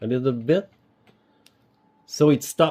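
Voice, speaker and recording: This man speaks with a French Canadian accent and ordinary pitch variation. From Quebec. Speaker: DIY video maker. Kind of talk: tutorial. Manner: halting.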